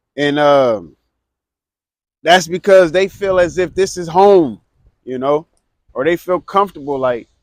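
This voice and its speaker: Loud and high-pitched, a man speaks at a fairly slow pace. The sound is dry and close, with no echo. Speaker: street preacher. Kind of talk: street preaching.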